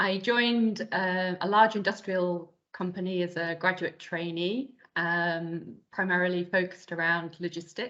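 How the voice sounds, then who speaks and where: In a British accent, a woman talks at a fairly slow pace with a medium pitch and ordinary pitch variation. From UK. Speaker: business consultant. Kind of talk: interview.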